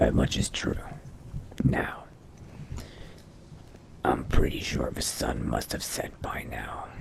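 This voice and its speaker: Speaking fairly slowly, a man adopts a put-on character voice with a raspy edge. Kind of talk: in-character game roleplay narration.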